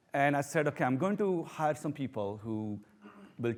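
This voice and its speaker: A man with a strong Indian accent at a moderate pace, with ordinary pitch variation. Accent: thick Indian. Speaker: professor. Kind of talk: talk to an audience.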